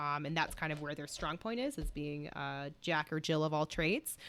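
With an American accent, this woman's voice has a bright, sharp tone. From US Midwest, Chicago. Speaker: podcast host. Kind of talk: casual interview chat.

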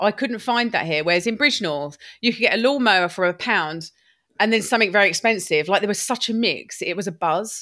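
The voice is bright and sharp with an animated tone and lively intonation, moving at a fairly quick pace in a very clean recording with a silent background. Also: woman, medium pitch for a woman. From England, Lewes, East Sussex. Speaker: upcycling business owner. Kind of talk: interview.

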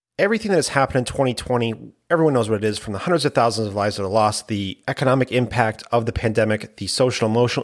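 Ordinary pitch variation shapes a man's medium-pitched speech, which goes by at a very fast pace. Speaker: fantasy football podcast co-host. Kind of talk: casual banter podcast.

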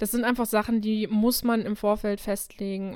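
The intonation stays monotone and flat. A woman keeps a moderate pace. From Krefeld, western Germany. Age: 20s. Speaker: podcast co-host and model. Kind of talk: casual chat. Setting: remote recording over the internet.

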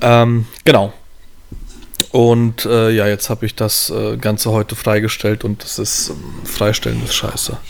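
A man speaks in a plain, everyday voice with fairly low pitch. His intonation stays fairly even at a fairly slow pace. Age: 30s. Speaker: wedding photographer. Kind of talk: casual chat.

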